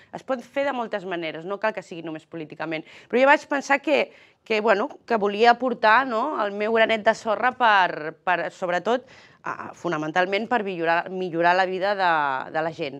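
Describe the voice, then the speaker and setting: A woman speaks with lively intonation at a moderate pace, the background quiet. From Catalonia. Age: 40s. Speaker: politician. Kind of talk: political interview. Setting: TV studio. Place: studio. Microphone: lapel.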